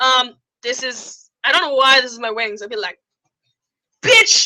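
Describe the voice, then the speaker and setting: A woman with an American accent speaks at a moderate pace in a raised, projected voice. Her tone is bright and sharp, and the sound is dry and close with no echo. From New York. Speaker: YouTuber and theatre performer. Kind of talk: live stream Q&A. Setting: live online broadcast from home. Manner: animated.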